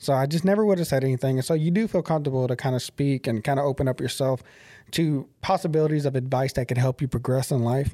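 In a Southern US accent, this very fast speaker has a dark, mellow tone, ordinary pitch variation and very even loudness, recorded very cleanly against a silent background with a dry, close sound and no echo. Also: man, fairly high pitch for a man. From Tennessee. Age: 30s. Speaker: podcast host. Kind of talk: casual interview.

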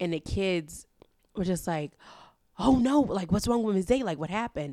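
A woman speaks with a New York accent and lively intonation. The recording is very clean, with a silent background. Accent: New York City. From Harlem, New York City. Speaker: podcast guest. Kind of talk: casual chat.

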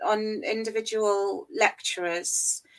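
A woman with an English accent has a fairly high voice. She speaks at a very slow pace. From England. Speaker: university lecturer. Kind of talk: interview.

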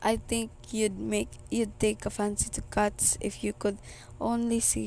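The reading is aloud and natural in voice. Intonation remains fairly even throughout.

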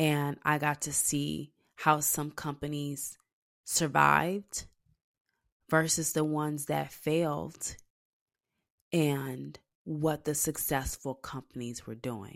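A woman's very deep, low voice at a very slow pace, with fairly even intonation and long, frequent pauses, in a very clean recording with a silent background. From Texas. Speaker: entrepreneur and podcast host. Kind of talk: solo monologue podcast, personal reflection.

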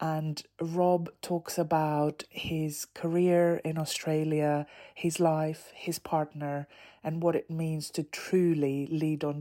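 A woman speaks in a very deep, low voice with a dark, mellow tone and flat, monotone intonation, recorded very cleanly against a silent background. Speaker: podcast host. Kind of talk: casual interview chat.

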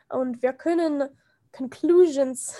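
The speaker has an English accent and a dark, mellow tone. The pace is fairly slow. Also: woman. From USA. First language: English (speaking German). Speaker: film and gender studies enthusiast. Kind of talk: casual chat. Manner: halting.

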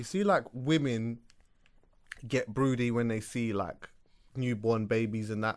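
The speaker has an English accent and talks at a moderate pace. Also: man. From London. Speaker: podcast co-host. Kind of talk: casual chat.

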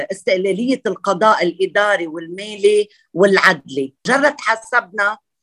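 A woman with a bright, sharp tone and medium pitch talks at a fairly slow pace, her pitch varying in an ordinary way, in a dry, close sound with no echo. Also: hardly any pauses. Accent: Lebanese. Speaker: architect and parliamentary candidate. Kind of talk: interview.

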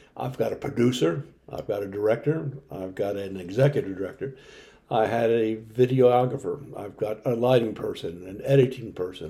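In an American accent, a man with a dark, mellow, somewhat breathy tone talks at a moderate pace with ordinary pitch variation. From Maryland, Howard County. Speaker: retired fire service officer and local historian. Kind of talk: scripted presentation. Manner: formal.

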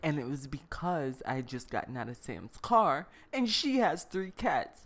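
Pitch swings very widely as this woman talks. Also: big swings in loudness. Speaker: podcast co-host. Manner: casual, conversational.

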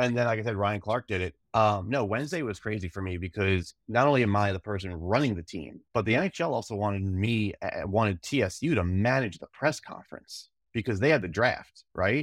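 With a plain, everyday voice, a man speaks at a fairly low pitch with ordinary pitch variation, at a fairly quick pace and with hardly any pauses. The recording is very clean, with a silent background and a dry, close sound with no echo. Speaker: sports administrator. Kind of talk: casual interview chat.

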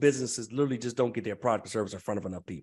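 A man talks with an American accent. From US Mid-Atlantic (Prince George's County, Maryland, DC area). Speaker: entrepreneur and business coach. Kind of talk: podcast interview.

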